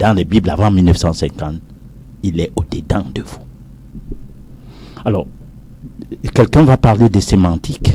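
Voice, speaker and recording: A man with a very deep, low pitch talks at a moderate pace with lively intonation and big swings in loudness. Long, frequent pauses break up his speech over noticeable background noise. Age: 60s. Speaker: professor. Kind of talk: heated debate.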